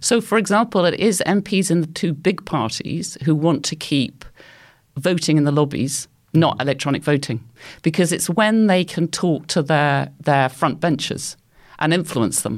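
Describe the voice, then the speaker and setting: The moderate-paced speech comes on a very clean recording with a silent background. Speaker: anthropology professor. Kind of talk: panel discussion.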